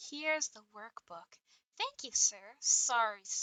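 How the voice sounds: Quiet background behind a natural reading voice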